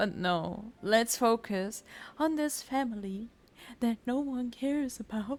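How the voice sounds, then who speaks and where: Her intonation lively, a woman speaks at a fairly high pitch. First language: not English. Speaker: vtuber gaming streamer. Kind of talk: casual let's play commentary with reading dialogue aloud. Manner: animated.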